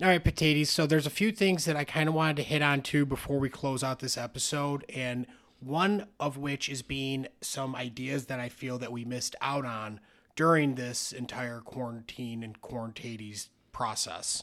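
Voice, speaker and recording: On a very clean recording with a silent background, a man uses a plain, everyday voice at a moderate pace with ordinary pitch variation. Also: medium pitch for a man. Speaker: podcast host, aspiring stand-up comedian. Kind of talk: casual chat.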